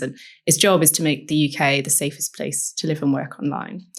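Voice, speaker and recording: In a very clean recording with a silent background, a woman with an English accent speaks at a fairly quick pace in a very deep, low pitch. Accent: posh English, picked up at university. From northern England. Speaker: technology strategy advisor. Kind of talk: podcast interview.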